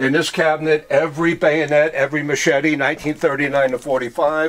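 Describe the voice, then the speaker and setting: Fairly quick, monotone speech from a man, with flat intonation. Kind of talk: casual guided tour. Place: hall. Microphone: camera far.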